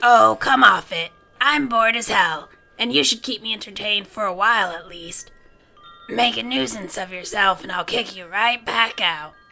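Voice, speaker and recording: A female-sounding put-on character voice comes out raspy at a medium pitch and a moderate pace. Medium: audio drama. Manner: blunt, crotchety.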